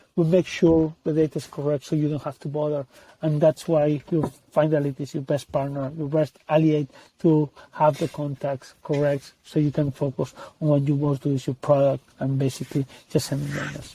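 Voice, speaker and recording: A man with a non-native accent talks at a moderate pace in a fairly high, somewhat breathy voice with a dark, mellow tone and monotone, flat intonation. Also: dry, close sound with no echo. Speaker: tech company CEO and co-founder. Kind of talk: interview.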